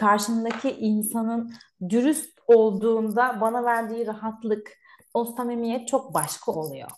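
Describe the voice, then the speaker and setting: This woman has a normal speaking voice, fairly high in pitch with ordinary variation. She talks at a fairly slow pace. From Turkey. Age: 30s. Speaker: migration consultant. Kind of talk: casual interview chat.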